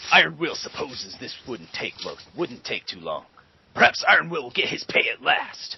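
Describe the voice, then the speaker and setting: Shouting in a put-on character voice, a man keeps a moderate pace. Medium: read story. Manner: speaks of himself in third person, shouts rhyming slogans.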